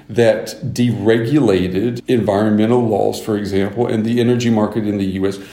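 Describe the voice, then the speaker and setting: A man with an American accent speaks fairly slowly at a medium pitch with fairly even intonation, and audible room echo surrounds his voice. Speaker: news anchor. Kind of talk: interview.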